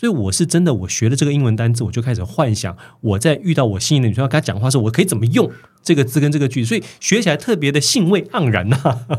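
A man talks at a very fast pace with very wide pitch swings and a somewhat breathy quality. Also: medium pitch for a man. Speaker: author, motivational speaker, former mayoral candidate. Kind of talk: casual interview chat. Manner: animated, storytelling.

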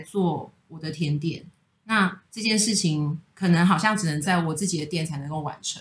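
This woman's voice is fairly low-pitched and somewhat breathy, with ordinary pitch variation. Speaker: pastry chef and bakery co-founder. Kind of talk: casual chat. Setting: recording at a friend's home.

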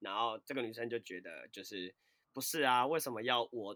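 The sound is dry and close, with no echo. A bright, sharp tone moves at a moderate pace with ordinary pitch variation. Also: man. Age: 20s. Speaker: fitness and dance instructor. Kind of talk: casual chat.

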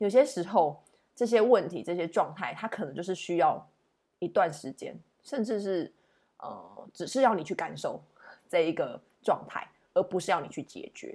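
Lively intonation marks this woman's dark, mellow voice as she speaks at a moderate pace, her loudness swinging widely between long, frequent pauses. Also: medium pitch for a woman. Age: 30s. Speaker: tarot reader and podcast host. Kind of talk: solo podcast monologue, reflective daily tarot reading. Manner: hesitant with many fillers.

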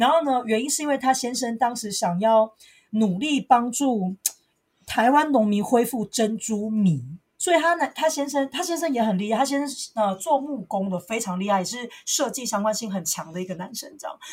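A woman's fairly high voice at a moderate pace, lively in intonation, a plain, everyday voice. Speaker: podcast co-host. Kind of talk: casual chat. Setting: home recording.

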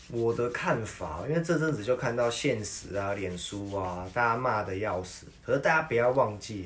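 Lively intonation comes at a moderate pace with hardly any pauses, amid audible room echo and noticeable background noise. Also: man, medium pitch for a man. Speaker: podcast co-host. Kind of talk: casual chat.

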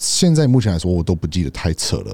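In a very clean recording with a silent background, a man with an English accent speaks fairly quickly in a very deep, low, dark and mellow voice. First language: English (speaking Chinese). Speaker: podcast co-host. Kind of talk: casual chat. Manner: halting.

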